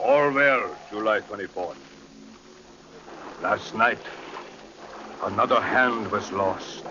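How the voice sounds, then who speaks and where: Long pauses come often in this very slowly paced speech, with background noise clearly noticeable. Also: man. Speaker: ship's captain reading his log. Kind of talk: radio drama log narration.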